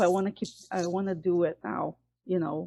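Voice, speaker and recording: A woman speaks at a medium pitch with a Portuguese accent. Her tone is dark and mellow, her intonation fairly even, and the sound dry and close with no echo. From Brazil. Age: 40s. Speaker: fitness program participant. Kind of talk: group discussion testimony.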